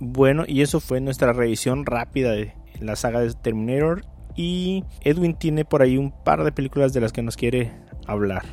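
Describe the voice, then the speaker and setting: In an ordinary speaking voice, the speaker talks at a moderate pace with lively intonation. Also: man, medium pitch for a man. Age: 30s. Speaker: podcast host. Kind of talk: casual chat.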